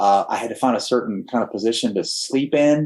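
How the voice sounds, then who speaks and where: Medium in pitch, a man's voice moves at a fairly quick rate. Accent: slight Texan. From Texas. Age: 60s. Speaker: cancer survivor, former air force pilot. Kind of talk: personal testimony in podcast interview. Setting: podcast studio.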